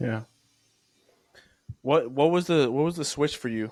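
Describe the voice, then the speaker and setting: Delivered at a moderate pace, the voice sits on a very clean recording where the background is silent. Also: man. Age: 20s. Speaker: podcast host. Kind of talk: casual interview.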